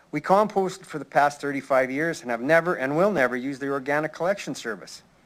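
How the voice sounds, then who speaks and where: Here a man speaks with a Canadian prairie accent. He talks at a fairly quick pace. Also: very clean recording, silent background. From Saskatchewan, Canada. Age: 60s. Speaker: retired citizen delegate. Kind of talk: prepared public delegation statement. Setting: city council chamber. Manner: formal.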